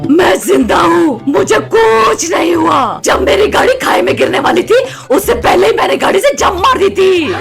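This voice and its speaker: Shouting in a put-on character voice at an extremely high pitch, a man is heard over loud music in the background. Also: moderate pace. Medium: comedy sketch.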